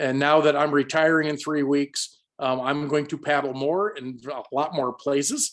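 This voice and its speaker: A fairly high-pitched man's voice, monotone and flat, at a moderate pace with hardly any pauses. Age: 60s. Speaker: kayak instructor. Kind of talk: presentation. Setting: video call.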